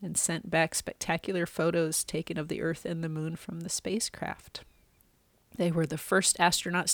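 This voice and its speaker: This is a plain, everyday voice moving at a moderate pace. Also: woman. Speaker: pastor. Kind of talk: fervent prayer, spoken aloud. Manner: earnest, reverent, warm and hushed.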